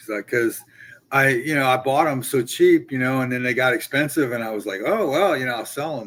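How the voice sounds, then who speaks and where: A man with a plain, everyday voice, medium pitch, ordinary pitch variation, and a fairly quick pace. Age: 60s. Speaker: comic collector. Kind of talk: casual chat. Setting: live stream video call.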